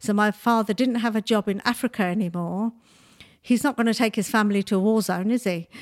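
A woman's fairly high voice at a very fast pace, fairly even in intonation and very even in loudness, with a dry, close sound, no echo, and a very clean recording over a silent background. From Nigeria. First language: Bengali. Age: 60s. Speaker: makeup artist and beauty entrepreneur. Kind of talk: interview.

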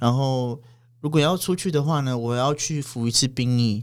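The voice is a man's, pitched in the medium range. Its pitch varies in an ordinary way. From Taiwan, Paiwan village in Pingtung. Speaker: interpreter. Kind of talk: casual chat. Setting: studio. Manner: halting, many fillers and repeats.

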